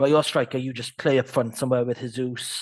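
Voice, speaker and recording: Over a quiet background, a man speaks at a very fast pace with monotone, flat intonation. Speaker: football podcast co-host. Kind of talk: casual chat. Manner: hesitant, many fillers.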